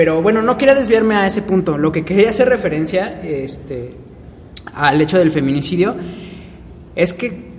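A man speaks fairly slowly in a Mexican accent, his pitch varying in an ordinary way. Noticeable background noise runs behind him. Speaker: podcast co-host. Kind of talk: casual chat.

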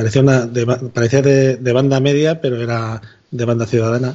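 A man at medium pitch and a fairly quick pace, over noticeable background noise. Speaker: podcaster. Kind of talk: casual chat. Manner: animated.

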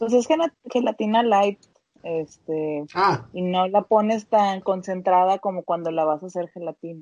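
A woman's plain, everyday voice at a medium pitch, with ordinary pitch variation, a fairly slow pace, and a dry, close sound with no echo. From Mexico, Monterrey. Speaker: podcast co-host. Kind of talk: casual chat.

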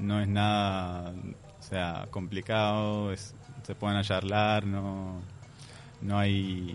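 Very slow and flat in intonation, a man delivers his words in a monotone at a fairly low pitch. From Palestine. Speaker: immigrant guest. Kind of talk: interview.

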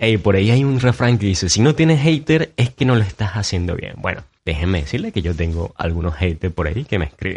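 A man's fairly low, somewhat breathy voice with an animated tone and lively intonation at a moderate pace, over a quiet background. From Venezuela, Maturín. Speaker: podcast host. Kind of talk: solo podcast monologue.

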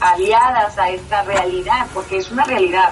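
Noticeable background noise sits behind the speaker. A woman talks at a fairly slow pace. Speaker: sociologist and academic. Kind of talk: interview. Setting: internet call.

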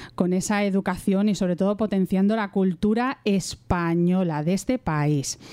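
With a dark, mellow tone, a woman speaks at a medium pitch and a fairly slow pace. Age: 40s. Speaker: radio host. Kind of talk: interview.

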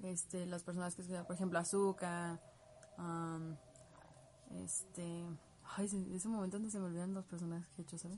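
A woman speaks at a moderate pace in a fairly low, somewhat breathy voice with a dark, mellow tone. Her intonation is monotone and flat, with long, frequent pauses. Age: 20s. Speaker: cosplayer and livestream host. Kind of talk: casual livestream chat answering viewer comments. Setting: home bedroom livestream.

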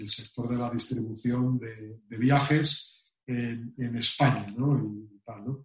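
A man talks very slowly, somewhat breathy, with monotone, flat intonation, big swings in loudness and hardly any pauses. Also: medium pitch for a man. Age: 50s. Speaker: travel industry executive. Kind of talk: interview. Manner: halting.

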